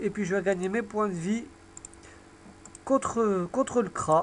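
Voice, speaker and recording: A high-pitched man speaks at a fairly slow pace. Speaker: gaming video creator. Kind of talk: live gameplay commentary.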